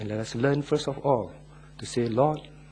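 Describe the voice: Read aloud plainly, with ordinary pitch variation.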